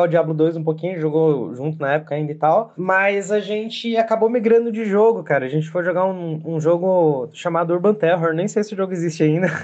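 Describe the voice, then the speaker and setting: Talking at a fairly quick pace with hardly any pauses, a man speaks in a high pitch. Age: 20s. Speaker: game developer. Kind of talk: recorded personal story.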